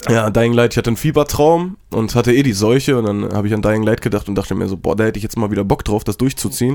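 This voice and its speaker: This man speaks at a very fast pace with hardly any pauses. His pitch is medium, with ordinary variation. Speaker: podcast co-host and streamer. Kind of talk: casual chat.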